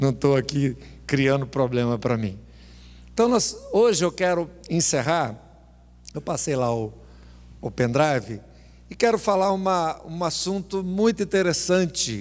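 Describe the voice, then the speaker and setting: A man speaks at a fairly slow pace, with long, frequent pauses. His pitch swings very widely. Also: fairly high pitch for a man. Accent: Brazilian. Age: 60s. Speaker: pastor. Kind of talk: sermon. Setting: church.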